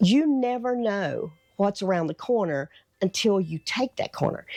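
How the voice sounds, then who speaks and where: In a Southern US accent, a woman speaks at a fairly slow pace with a dark, mellow tone and medium pitch. Her pitch swings very widely, and the sound is dry and close with no echo against a quiet background. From North Carolina, US South. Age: 60s. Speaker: lifestyle vlogger. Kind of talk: motivational talk to camera. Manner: casual, conversational.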